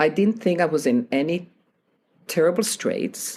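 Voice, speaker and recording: Speaking at a moderate pace, a woman with a non-native accent uses very wide pitch swings. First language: not English. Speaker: piano teacher and author. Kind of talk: interview.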